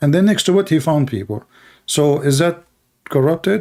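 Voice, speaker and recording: At a fairly quick pace, a man with an Arabic accent talks with ordinary pitch variation. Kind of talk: heated debate. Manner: animated; halting.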